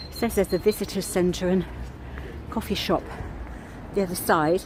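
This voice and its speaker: A mumbling woman at a medium pitch and moderate pace, her intonation fairly even, over noticeable background noise. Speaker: vlogger, walking tour guide. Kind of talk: walking tour vlog. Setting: outdoors, walking.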